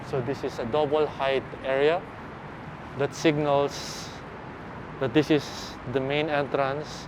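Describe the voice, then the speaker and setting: A man's very slow, flat monotone broken by long, frequent pauses, with noticeable background noise. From Philippines. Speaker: architecture vlogger; architecture walking tour guide. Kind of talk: walking tour vlog commentary. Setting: walking around campus outdoors and indoors. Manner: casual, hesitant with fillers. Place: street. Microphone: phone near.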